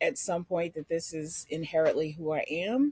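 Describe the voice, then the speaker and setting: With a Philadelphia accent, a woman speaks at a moderate pace, her fairly low pitch showing ordinary variation. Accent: Philadelphia urban. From US, North Philadelphia. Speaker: podcast guest. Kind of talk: casual chat. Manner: animated.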